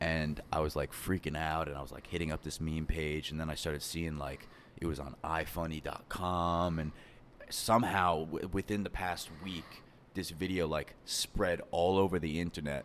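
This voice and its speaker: Moderately paced speech from a man with a very deep, low pitch and fairly even intonation. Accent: New York. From Long Island, New York. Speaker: animator and meme creator. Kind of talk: casual chat. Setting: indoor venue, not a studio.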